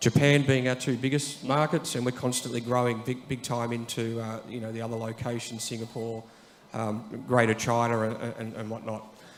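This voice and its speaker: A man with an Australian accent speaks at a moderate pace and medium pitch in a monotone, flat intonation, with audible room echo and noticeable background noise. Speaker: IT executive at an insurance company. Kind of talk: conference talk. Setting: stage with audience. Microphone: too far from the mic.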